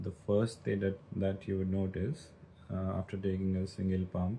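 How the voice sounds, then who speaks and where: A man's very deep, low, somewhat breathy voice, dark and mellow in tone, at a fairly slow pace. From India, Hyderabad. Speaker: livestreamer. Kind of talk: casual chat. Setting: livestream.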